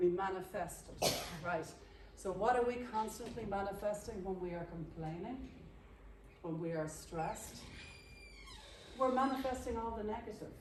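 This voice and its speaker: Amid noticeable background noise and audible room echo, a woman speaks at a moderate pace with long, frequent pauses. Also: medium pitch for a woman, ordinary pitch variation. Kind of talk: interactive workshop teaching.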